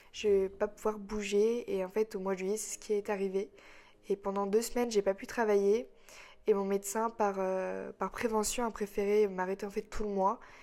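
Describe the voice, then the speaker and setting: The voice has a dark, mellow tone, monotone, flat intonation and a moderate pace, captured in a very clean recording with a silent background. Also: woman, medium pitch for a woman. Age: 20s. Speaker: podcaster. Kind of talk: personal monologue. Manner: hesitant.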